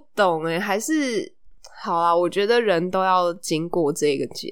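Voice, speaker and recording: A woman with a Taiwanese accent talks at a fairly slow pace and medium pitch, her tone animated and her intonation lively. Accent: Taiwanese Mandarin. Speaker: podcast host. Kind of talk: casual chat. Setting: recording at home. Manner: animated, laughs often.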